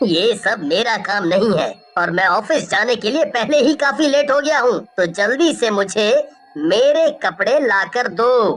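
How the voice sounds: A female-sounding put-on character voice speaks in a fairly high pitch. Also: moderate pace.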